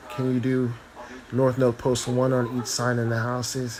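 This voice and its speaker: There is audible room echo and noticeable background noise. A man of medium pitch speaks at a moderate pace with monotone, flat intonation. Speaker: astrologer and tarot reader. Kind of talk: casual live stream chat. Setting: live video stream.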